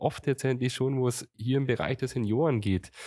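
With no echo at all, the close, dry sound carries a man talking at a moderate pace. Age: 40s. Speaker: mayor. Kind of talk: interview. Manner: halting.

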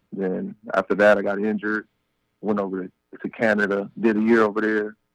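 A man with an American accent, fairly low in pitch, flat and monotone in intonation, at a moderate pace. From Compton, California. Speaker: former pro football player. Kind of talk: casual interview. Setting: phone call.

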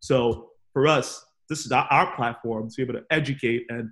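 Somewhat breathy, a man with an American accent speaks with fairly even intonation. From Boston, US. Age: 20s. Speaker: podcast co-host. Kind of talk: casual chat. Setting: video call.

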